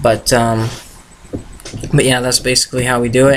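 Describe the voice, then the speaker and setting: Noticeable background noise sits behind a man who speaks with monotone, flat intonation. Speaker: political campaign volunteer vlogger. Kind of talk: casual vlog tutorial. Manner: fast.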